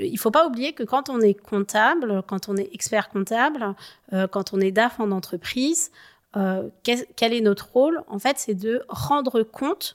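Fairly high-pitched and lively in intonation, a woman speaks at a very slow pace. The sound is dry and close with no echo, on a very clean recording with a silent background. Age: 30s. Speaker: chartered accountant, sustainability consultant. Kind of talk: interview.

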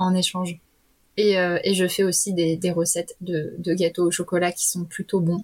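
A woman speaks in a somewhat breathy voice. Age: 30s. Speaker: facilitator. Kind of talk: casual chat. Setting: remote recording.

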